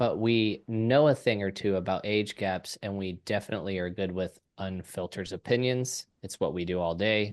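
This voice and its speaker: A man speaks in a plain, everyday voice at a moderate pace, fairly low in pitch with ordinary pitch variation. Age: 30s. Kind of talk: casual podcast conversation.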